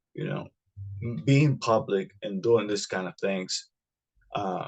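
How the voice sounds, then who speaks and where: A man with a non-native accent talks at a fairly slow pace in a somewhat breathy voice, with ordinary pitch variation over a quiet background. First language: not English. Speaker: podcast host. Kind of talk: solo podcast monologue. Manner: halting, many fillers and repetitions.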